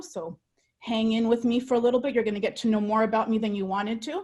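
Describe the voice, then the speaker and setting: A woman's somewhat breathy, fairly high-pitched voice with a Spanish accent. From El Salvador, moved to US at six. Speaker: dual language educator. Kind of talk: personal testimony; webinar presentation. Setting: online webinar.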